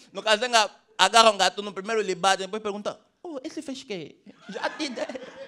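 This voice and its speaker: A raised, projected voice comes through over light background noise. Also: man. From Angola. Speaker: stand-up comedian. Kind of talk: raunchy stand-up comedy set in Luanda street slang. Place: stage.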